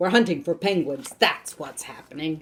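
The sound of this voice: This put-on character voice is gruff and growling at a middle pitch. It moves at a moderate pace.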